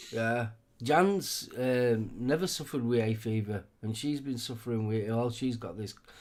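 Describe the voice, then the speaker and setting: A man talks at a medium pitch. He speaks with an English accent. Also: ordinary pitch variation, moderate pace. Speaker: live stream co-host. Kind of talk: casual chat.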